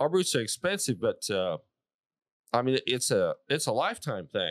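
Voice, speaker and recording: This is a man's voice, recorded dry and close with no echo. The recording is very clean, with a silent background. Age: 60s. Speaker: cowboy boot maker, small business owner. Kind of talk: interview answer. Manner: casual, folksy.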